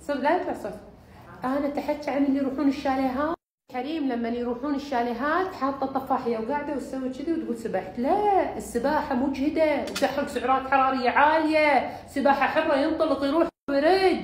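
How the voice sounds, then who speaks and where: A woman's high voice in a Bahraini accent, at a moderate pace with ordinary pitch variation. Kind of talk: humorous talk about exercise.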